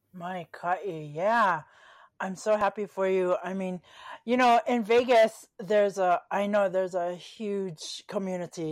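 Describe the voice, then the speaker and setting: On a very clean recording with a silent background, a woman in a Hawaiian accent speaks at a very slow pace and medium pitch with fairly even intonation. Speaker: podcast host. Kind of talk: casual interview chat.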